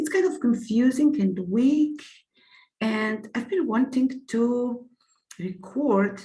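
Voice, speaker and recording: A somewhat breathy woman with a non-native accent, lively intonation and audible room echo. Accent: non-native English speaker. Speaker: astrologer. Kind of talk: lecture with slides. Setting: screen-shared online presentation. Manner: halting, many fillers.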